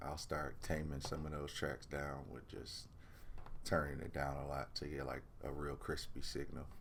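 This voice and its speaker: A man with vocal fry and a relaxed tone at a fairly slow pace, fairly even intonation and audible room echo. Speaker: music producer and mixing engineer. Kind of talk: tutorial. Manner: casual, relaxed.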